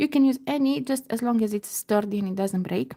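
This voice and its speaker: A woman speaks with a fairly high pitch and lively intonation. Her tone is dark and mellow, and somewhat breathy. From Romania. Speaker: beading crafter. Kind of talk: live tutorial. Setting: livestream at home computer. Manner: slow-paced, step by step; halting, many fillers.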